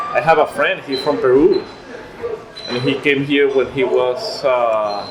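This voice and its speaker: Amid noticeable background noise and audible room echo, a man speaks fairly slowly. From Venezuela. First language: Spanish. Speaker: immigrant interviewee. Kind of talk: casual chat. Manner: halting.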